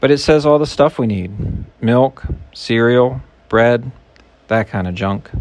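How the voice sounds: What we hear is a natural reading voice.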